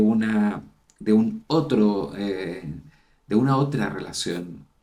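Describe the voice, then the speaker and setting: The speaker's intonation is lively. Audible room echo surrounds the voice. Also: man. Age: 60s. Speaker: university dean, psychologist. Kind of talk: interview conversation.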